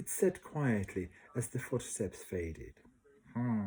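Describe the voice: Lively intonation during plain reading aloud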